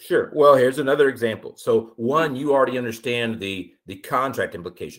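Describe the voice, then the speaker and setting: In a normal speaking voice with an American accent, the speaker goes at a fairly quick pace with hardly any pauses, ordinary pitch variation and big swings in loudness. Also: man, medium pitch for a man. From Austin, Texas. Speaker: insurance broker. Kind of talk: interview. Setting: remote call.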